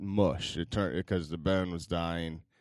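Speech comes at a moderate pace with fairly even intonation over a quiet background. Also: man. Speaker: podcast co-host. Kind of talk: casual chat.

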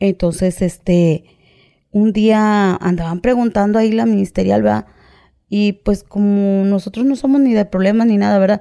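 A woman speaks at medium pitch with fairly even intonation and very even loudness. Her pace is fairly slow. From Mexico, Veracruz (Coatzacoalcos). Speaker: former prisoner telling her story. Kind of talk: testimony. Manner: halting.

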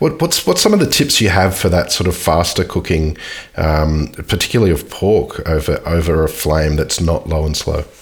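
A man talks at a moderate pace with very even loudness. Noticeable background noise sits under his voice. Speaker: podcast host. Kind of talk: casual interview.

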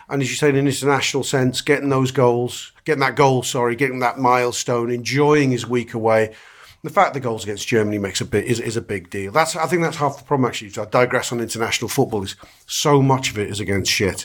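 Very clean and set against a silent background, this recording has a very fast pace and ordinary pitch variation. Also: man, medium pitch for a man. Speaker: football fan pundit. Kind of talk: casual chat.

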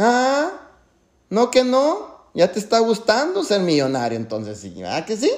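A man's animated tone at a fairly slow pace, with big swings in loudness. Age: 40s. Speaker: network marketing leader. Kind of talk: motivational talk. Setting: video call.

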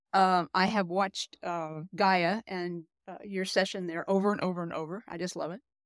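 In an American accent, a woman speaks at a medium pitch and moderate pace with monotone, flat intonation and a dry, close sound with no echo. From US Pacific Northwest. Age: 70s. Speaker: audience member. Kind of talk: testimony. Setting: video call.

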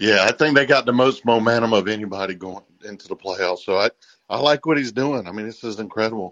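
Against a quiet background with a dry, close sound and no echo, a man with an American accent speaks at a very fast pace, his medium pitch showing ordinary variation and his loudness swinging widely. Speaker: caller. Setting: phone call.

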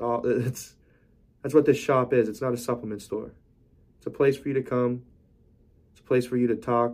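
Speaking fairly quickly but with long, frequent pauses, a man holds a flat, monotone intonation at medium pitch while his loudness swings widely. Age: 20s. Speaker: podcast host and supplement shop owner. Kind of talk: solo monologue podcast.

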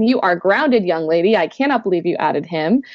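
A woman talks at a fairly quick pace with a slight Canadian accent. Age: 20s. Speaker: author. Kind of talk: interview.

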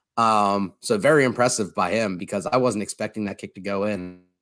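A man with an ordinary speaking voice, fairly low in pitch, at a fairly quick pace, on a very clean recording with a silent background. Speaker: sports podcast host. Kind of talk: casual sports talk. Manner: filler-heavy, casual.

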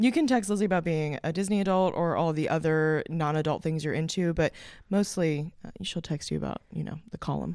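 A woman talks at a fairly quick pace in a plain, everyday voice, fairly low in pitch with ordinary variation. The recording is very clean, with a silent background. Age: 30s.

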